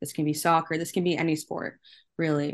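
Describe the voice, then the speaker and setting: A woman's normal speaking voice, fairly low in pitch, with a Canadian accent. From Canada. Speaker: soccer journalist. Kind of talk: interview.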